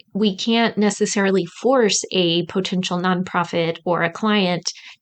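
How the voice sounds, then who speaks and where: Against a quiet background, a woman with a Midwestern accent talks at medium pitch with ordinary pitch variation. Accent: Midwest American. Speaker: podcast host, grant writing coach. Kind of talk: podcast intro monologue.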